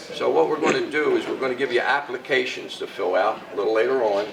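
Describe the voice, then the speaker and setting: A man talks at a moderate pace. Audible room echo and noticeable background noise accompany him. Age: 70s. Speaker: country club director. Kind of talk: welcome speech to students. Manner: animated.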